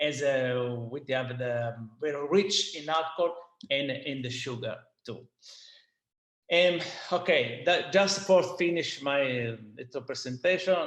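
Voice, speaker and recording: With a Sicilian accent, a man pauses long and often, his loudness rising and falling sharply. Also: fairly high pitch for a man, ordinary pitch variation, fairly slow pace. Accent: Italian (Sicilian) accent in English. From Sicily, Italy. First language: Italian. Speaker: winemaker. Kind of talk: seminar presentation. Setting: online video seminar. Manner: halting, hesitant non-native English.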